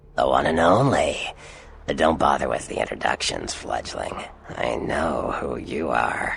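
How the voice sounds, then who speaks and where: This is a put-on character voice. The delivery moves at a fairly slow pace. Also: man. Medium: video game. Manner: smug, drawling.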